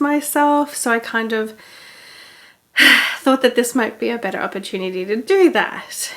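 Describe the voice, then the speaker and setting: A woman's fairly high voice at a moderate pace, with ordinary pitch variation over noticeable background noise. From Australia. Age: 20s. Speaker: knitting podcaster. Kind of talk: casual chat. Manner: relaxed, filler-heavy.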